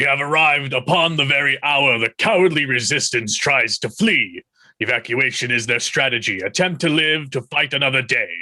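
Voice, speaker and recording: The man's voice is a put-on character, pitched fairly high. His pace stays moderate. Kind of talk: mock-Shakespearean verse. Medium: audio drama. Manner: formal, deferential.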